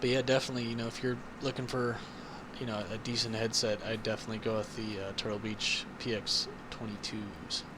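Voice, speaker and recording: Soft-spoken and fairly quick, a man talks in an American accent at a medium pitch. His intonation is monotone and flat, and the room echo is audible. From Ohio, US Midwest. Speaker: gaming YouTuber. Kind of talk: gameplay commentary. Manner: halting, many fillers; quiet, soft-spoken.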